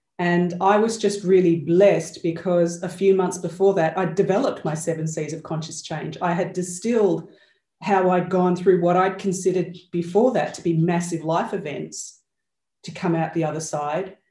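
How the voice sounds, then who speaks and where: Somewhat breathy and fairly low-pitched, a woman's dark, mellow voice moves at a moderate pace with fairly even intonation. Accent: Australian. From Australia. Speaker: change and accountability coach. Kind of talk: interview conversation. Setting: video call.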